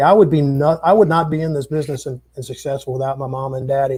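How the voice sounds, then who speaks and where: A somewhat breathy man with an American accent talks at a very fast pace. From Minnesota. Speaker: musician and entertainer. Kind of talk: casual interview chat.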